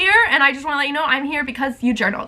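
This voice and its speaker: A woman speaks in an animated tone with a raised, projected voice. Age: 20s. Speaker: lifestyle vlogger. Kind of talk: casual chatty vlog. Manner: fast.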